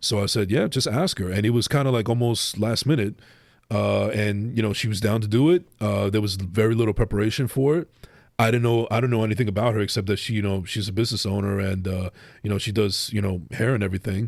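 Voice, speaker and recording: In a New Jersey accent, a man with a fairly low pitch and ordinary pitch variation talks at a very fast pace, recorded very cleanly against a silent background. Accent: New Jersey accent, often taken for New York. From New Jersey, Bergen County. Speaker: podcaster. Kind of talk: casual chat. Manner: halting, many repetitions and false starts.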